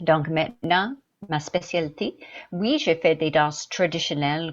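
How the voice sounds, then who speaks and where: At a very slow pace, a woman with a slight English accent speaks in a fairly low pitch. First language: English (speaking French). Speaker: dancer. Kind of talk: interview. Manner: halting.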